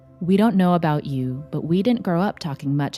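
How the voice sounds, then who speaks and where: Music plays in the background. The speaker has an American accent, lively intonation and a fairly quick pace. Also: woman. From Taiwanese American. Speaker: podcast co-host, clinical social worker. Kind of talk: podcast intro read.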